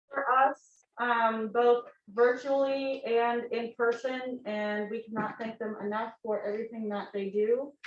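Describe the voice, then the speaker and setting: Using monotone, flat intonation, a woman with a fairly high pitch speaks at a fairly slow pace with hardly any pauses. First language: Russian. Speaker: student club president. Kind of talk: club meeting presentation.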